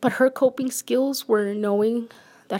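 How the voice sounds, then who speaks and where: Using a normal speaking voice, a woman with an American accent talks at a moderate pace, with fairly high pitch and ordinary pitch variation. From United States. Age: 30s. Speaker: podcast host. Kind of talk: personal monologue.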